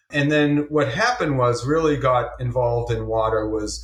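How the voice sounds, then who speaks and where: Somewhat breathy, a man talks at a moderate pace and medium pitch with fairly even intonation. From Massachusetts. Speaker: government water official. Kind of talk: interview.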